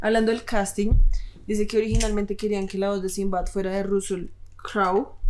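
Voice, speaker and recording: A woman talks at a fairly quick pace. Her medium-pitched voice stays flat and monotone. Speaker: podcast co-host. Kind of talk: casual chat.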